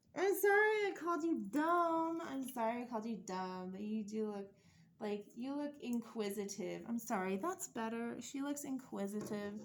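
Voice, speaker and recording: Lively intonation carries this moderately paced speech over noticeable background noise. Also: woman. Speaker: doll collector YouTuber. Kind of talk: casual unboxing vlog. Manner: rambling, casual.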